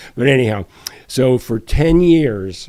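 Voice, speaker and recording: A man speaks at a medium pitch. Noticeable background noise runs through the clip. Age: 70s. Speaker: retired professional, long-distance hiker, author. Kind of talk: casual interview conversation. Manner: halting, with self-corrections.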